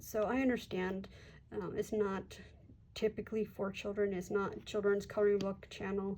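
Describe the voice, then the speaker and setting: Speaking with an American accent, a woman keeps a moderate pace. Light background noise can be heard. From US. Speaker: coloring channel creator; coloring channel host. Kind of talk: casual vlog talk. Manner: relaxed, hesitant with fillers. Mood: warm, modest.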